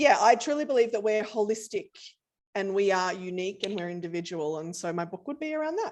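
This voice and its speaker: Someone speaks at a very fast pace in an Australian accent. The intonation is lively. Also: woman, medium pitch for a woman, big swings in loudness. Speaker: company CEO. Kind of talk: casual interview.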